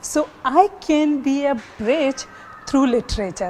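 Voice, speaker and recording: With a Baluchi accent, a woman talks at a fairly slow pace with ordinary pitch variation over noticeable background noise. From Pakistan, Baluchi-speaking. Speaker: literature scholar. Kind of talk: TV panel discussion.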